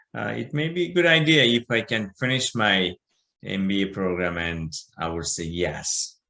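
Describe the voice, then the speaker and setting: A man with a Bangladeshi accent speaks at a moderate pace in a fairly low pitch. His tone is bright and sharp, and his pitch swings very widely. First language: Bengali. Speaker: business owner. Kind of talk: interview. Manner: halting, many fillers.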